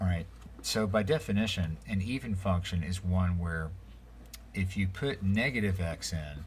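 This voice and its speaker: A man speaks with a very deep, low pitch and lively intonation, sounding somewhat breathy. Audible room echo surrounds his voice. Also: moderate pace. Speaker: math teacher. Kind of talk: lecture. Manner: casual, many fillers.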